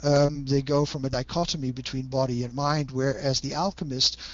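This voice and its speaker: A man with a Dutch accent and a fairly high pitch. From Netherlands. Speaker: Jungian analyst and author. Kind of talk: interview. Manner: hesitant with fillers.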